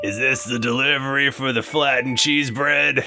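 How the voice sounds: Loud background noise surrounds a man doing a put-on character voice. It is gravelly and medium in pitch, delivered at a moderate pace.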